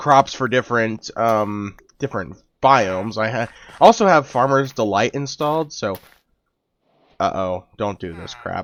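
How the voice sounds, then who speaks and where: At a medium pitch and moderate speed, the man has a plain, everyday voice whose pitch varies in an ordinary way. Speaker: gaming YouTuber. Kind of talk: let's play commentary. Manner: casual, many fillers.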